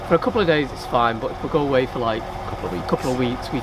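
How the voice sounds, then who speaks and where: A man talks at a very fast pace. Loud background noise fills the clip. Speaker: vlogger, narrowboat liveaboard. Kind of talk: casual vlog chat. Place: boat.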